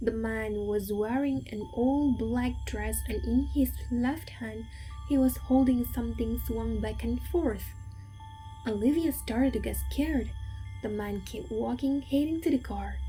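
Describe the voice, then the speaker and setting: Background music behind a woman speaking at a fairly slow pace. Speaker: storyteller. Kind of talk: horror bedtime story narration. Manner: soft, calming, ASMR-style.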